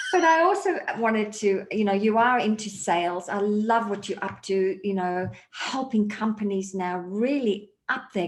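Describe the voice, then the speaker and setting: A woman with an Australian accent, medium pitch, at a fairly slow pace. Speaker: sales mindset consultant. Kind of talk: interview podcast.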